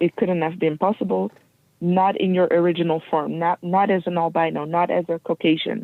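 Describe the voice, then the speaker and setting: At a fairly quick pace, a woman with a fairly low pitch talks with fairly even intonation and very even loudness. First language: not English. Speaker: guest speaker on race and history. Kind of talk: interview. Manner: halting.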